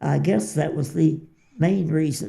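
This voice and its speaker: Her tone dark and mellow, a woman with an American accent speaks at a very deep, low pitch with vocal fry. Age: 90s. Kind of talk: interview answer.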